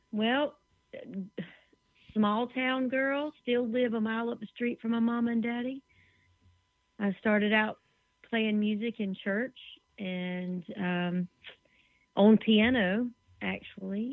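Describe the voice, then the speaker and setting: A woman with a Southern US accent and a fairly high voice speaks very slowly, with long, frequent pauses and fairly even intonation. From US South. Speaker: musician and songwriter. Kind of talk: interview. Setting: internet radio show.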